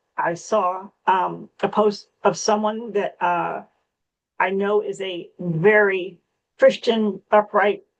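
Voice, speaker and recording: This woman's intonation is monotone and flat. Her pace is very slow. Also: medium pitch for a woman. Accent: American. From US South (Key West, Florida). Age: 70s. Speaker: small business owner. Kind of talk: testimony. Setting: video call.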